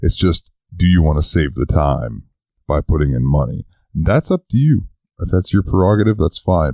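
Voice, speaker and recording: A man's very deep, low voice, dark and mellow with vocal fry, at a moderate pace with ordinary pitch variation, dry and close with no echo. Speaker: podcast host. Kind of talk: casual podcast news talk.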